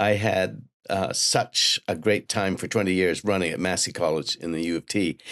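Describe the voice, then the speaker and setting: A man talks at a moderate pace with a very deep, low pitch and fairly even intonation. The sound is dry and close with no echo. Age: 80s+. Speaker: author and journalist. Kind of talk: interview. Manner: halting, many fillers.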